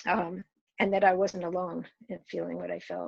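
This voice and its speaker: The speaker has an American accent and vocal fry, against a quiet background. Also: woman. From rural New York State. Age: 70s. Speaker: activist. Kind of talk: commencement address with storytelling.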